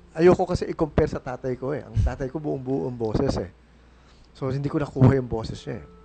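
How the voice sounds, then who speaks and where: Music plays in the background as a man speaks. His pitch is medium and his intonation lively. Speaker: radio host. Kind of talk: casual chat.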